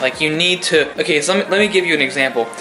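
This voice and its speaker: Music plays in the background as a man speaks in a fairly high pitch. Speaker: self-improvement vlogger. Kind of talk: motivational monologue. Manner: repetitive filler-heavy.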